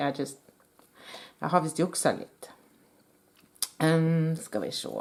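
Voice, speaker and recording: A dark, mellow tone in a Norwegian accent, monotone and flat in intonation, at a moderate pace. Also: woman. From Norway. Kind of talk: tutorial. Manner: halting.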